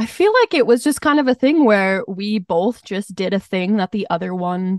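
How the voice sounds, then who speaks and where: Using an unremarkable speaking voice with an American accent, a woman talks fairly slowly at medium pitch with lively intonation. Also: dry, close sound with no echo, quiet background. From Montana. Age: 20s. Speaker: singer-songwriter. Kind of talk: casual interview.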